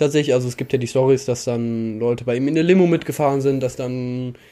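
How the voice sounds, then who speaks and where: This man has a medium pitch and a dark, mellow tone. He talks at a fairly quick pace. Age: 20s. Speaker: fashion commentator. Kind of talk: casual chat.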